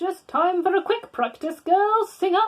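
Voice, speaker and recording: A woman's squeaky, put-on character voice at an extremely high pitch and a moderate pace. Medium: read story. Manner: bossy, indignant.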